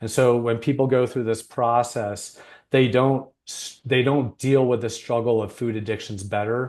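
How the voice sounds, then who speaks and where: Over a quiet background, a man speaks at a moderate pace with a normal speaking voice. His pitch is medium and his intonation fairly even. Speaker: weight loss coach, program founder. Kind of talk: client interview.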